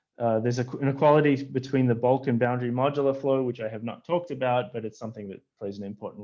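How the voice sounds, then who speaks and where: A man at medium pitch talking at a very fast pace with hardly any pauses, fairly even intonation and big swings in loudness. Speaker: physics professor. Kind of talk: lecture. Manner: halting, many fillers.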